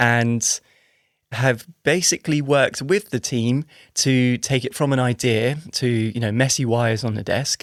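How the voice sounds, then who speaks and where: A man with an English accent speaks at a fairly slow pace and a medium pitch. The sound is dry and close with no echo, on a very clean recording over a silent background. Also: ordinary pitch variation. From England. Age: 40s. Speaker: engineer and startup founder. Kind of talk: podcast interview. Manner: hesitant, with fillers and repetitions.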